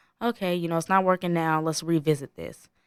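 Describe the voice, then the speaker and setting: A woman uses an ordinary speaking voice at a fairly low pitch, talking at a fairly quick pace with fairly even intonation. The recording is very clean and the background silent, with a dry, close sound and no echo. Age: 20s. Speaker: podcast host. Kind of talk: casual monologue.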